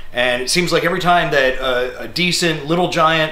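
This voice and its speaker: A fairly quick-paced man amid audible room echo. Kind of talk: casual tutorial to camera. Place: workshop.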